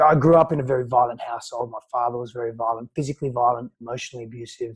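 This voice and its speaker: Speaking very fast in an Australian accent, a man has a somewhat breathy, medium-pitched voice with monotone, flat intonation and a dry, close sound with no echo. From Australia, early childhood in Greece. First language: Greek. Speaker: personal growth coach. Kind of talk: podcast interview, personal storytelling.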